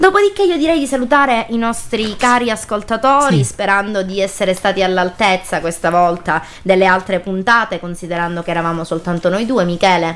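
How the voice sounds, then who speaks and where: A woman with a Sicilian accent speaks fairly quickly at medium pitch with lively intonation, over noticeable background noise. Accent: Sicilian, open-mouthed pronunciation. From Sicily. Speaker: radio host. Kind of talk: casual chat.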